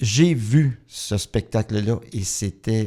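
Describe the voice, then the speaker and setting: The voice has a dark, mellow tone and lively intonation. It comes through on a very clean recording with a silent background. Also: man. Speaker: radio host. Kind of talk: radio interview.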